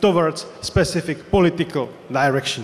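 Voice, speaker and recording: A voice in a Czech accent moves at a moderate pace with ordinary pitch variation. Noticeable background noise is present. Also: man. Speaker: politician. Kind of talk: panel discussion.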